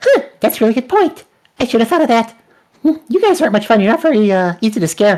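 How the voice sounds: At a very fast pace, a man uses a put-on character voice pitched extremely high.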